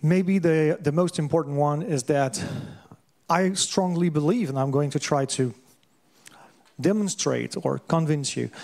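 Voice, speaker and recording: The speaker talks fairly slowly with an ordinary amount of pitch variation. They speak with a French accent. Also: man. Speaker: lecturer on systems thinking. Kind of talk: lecture. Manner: halting.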